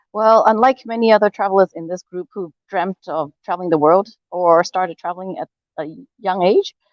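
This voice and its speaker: This woman has a plain, everyday voice at a medium pitch, with ordinary pitch variation and big swings in loudness. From Hong Kong, moved to Canada at twelve. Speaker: world traveler. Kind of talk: interview.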